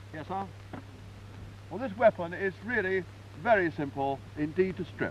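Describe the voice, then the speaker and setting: With a British accent, a man at a fairly high pitch talks at a moderate pace, using very wide pitch swings and long, frequent pauses. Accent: British, 1950s. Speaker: army sergeant major. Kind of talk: live demonstration explanation. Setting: archival 1954 film recording.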